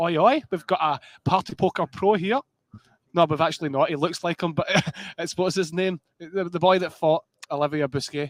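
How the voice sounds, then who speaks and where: A man with a strong Scottish accent, high in pitch, at a moderate pace with ordinary pitch variation, in a dry, close sound with no echo. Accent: thick Scottish. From Scotland. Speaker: poker commentator. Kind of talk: live commentary. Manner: casual, jokey.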